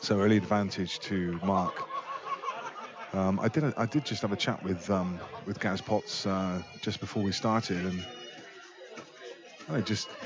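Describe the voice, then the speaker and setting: Over noticeable background noise, a man with fairly low pitch talks at a fairly slow pace, with ordinary pitch variation and long, frequent pauses. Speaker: pool match commentator. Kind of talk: live commentary. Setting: pool hall, live stream.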